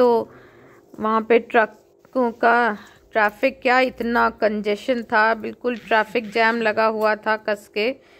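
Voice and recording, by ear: The speech moves at a fairly slow pace with little pitch movement. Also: woman.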